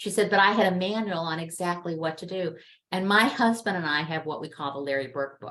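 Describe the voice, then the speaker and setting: A normal speaking voice at a fairly quick pace, with ordinary pitch variation and big swings in loudness. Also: woman, fairly low pitch for a woman. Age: 60s. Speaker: webinar guest speaker on end-of-life planning. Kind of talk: interview over video webinar. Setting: video call.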